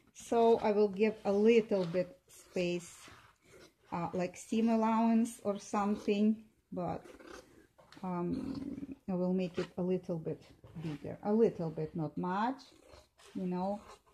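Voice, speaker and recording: At a very slow pace with long, frequent pauses, a woman speaks in a somewhat breathy, dark, mellow tone at medium pitch with ordinary pitch variation. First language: not English. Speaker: seamstress. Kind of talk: tutorial. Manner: halting, many fillers.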